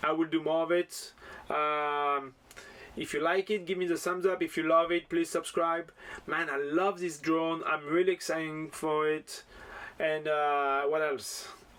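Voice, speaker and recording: Speaking with a French accent, a man talks at a fairly slow pace with a fairly high pitch. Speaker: FPV drone hobbyist YouTuber. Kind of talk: casual product unboxing vlog. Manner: enthusiastic, animated.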